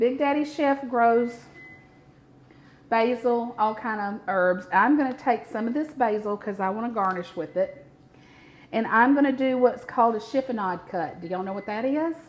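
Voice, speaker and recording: In a strong Mississippi accent, a woman speaks with ordinary pitch variation. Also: fairly high pitch for a woman, moderate pace. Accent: thick Southern (Mississippi). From US South, north Mississippi near Memphis. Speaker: cooking show host. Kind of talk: live cooking demonstration. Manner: animated, chatty.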